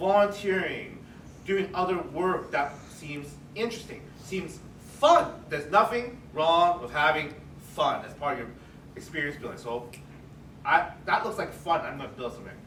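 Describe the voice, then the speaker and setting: Amid noticeable background noise and audible room echo, a man with a high voice talks at a moderate pace with lively intonation and long, frequent pauses. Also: big swings in loudness. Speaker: career panelist, HR professional. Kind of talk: panel discussion. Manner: soft-spoken.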